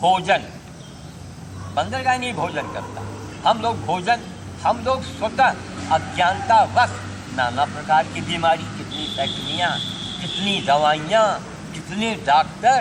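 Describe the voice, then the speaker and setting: Noticeable background noise sits behind a man with a high voice whose pitch swings very widely between long, frequent pauses. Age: 70s. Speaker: sadhu giving health advice. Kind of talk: informal talk to a group. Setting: yoga group gathering.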